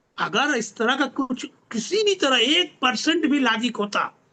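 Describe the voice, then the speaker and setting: A man's raised, projected voice, extremely high in pitch, bright and sharp in tone, with lively intonation. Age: 70s. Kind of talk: video interview discussion. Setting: video call.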